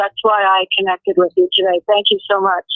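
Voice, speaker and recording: In a plain, everyday voice, a woman talks at a fairly quick pace and a fairly high pitch. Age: 60s. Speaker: caller, nursing assistant. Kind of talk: phone call-in conversation.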